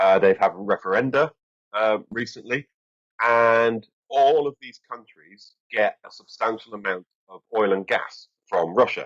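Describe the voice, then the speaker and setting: A man with an English accent speaks at a fairly slow pace in a medium pitch, with ordinary pitch variation and big swings in loudness. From England. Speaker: strategic communications expert, former army officer. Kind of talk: interview. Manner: hesitant, many fillers.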